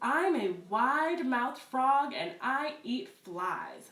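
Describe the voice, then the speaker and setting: A woman's put-on character voice, high in pitch and very slow, with a slight echo. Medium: read story. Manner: chatty, repeats himself proudly.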